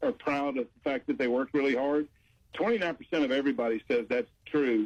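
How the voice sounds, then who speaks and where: Lively in intonation and fairly high in pitch, a man's voice comes through with a dry, close sound and no echo. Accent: Southern. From US South, Memphis, Tennessee. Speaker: business author and workplace culture specialist. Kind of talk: radio interview.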